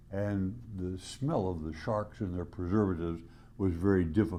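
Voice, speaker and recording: In a room with audible echo, a man with a very deep, low pitch and a dark, mellow tone speaks at a moderate pace with ordinary pitch variation. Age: 90s. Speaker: retired biology professor. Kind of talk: recorded video greeting. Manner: halting.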